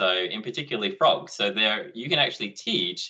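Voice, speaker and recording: A man speaks with an Australian accent. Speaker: education technology presenter. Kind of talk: online conference presentation. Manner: fast.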